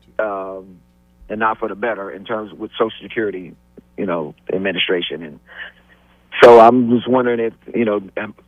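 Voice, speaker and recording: Noticeable background noise fills the recording. The speaking pace stays moderate. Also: man. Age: 60s. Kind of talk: phone-in question. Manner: halting.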